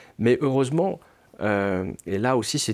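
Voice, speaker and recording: A man's voice with ordinary pitch variation. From France. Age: 60s. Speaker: novelist. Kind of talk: interview. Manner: hesitant, many fillers.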